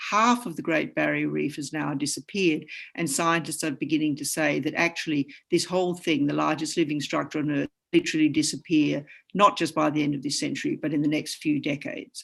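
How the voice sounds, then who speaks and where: Over a quiet background, a woman with an Australian accent speaks fairly quickly in a very deep, low pitch, with vocal fry and ordinary pitch variation. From Australia, Queensland. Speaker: science writer and artist. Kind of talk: panel discussion.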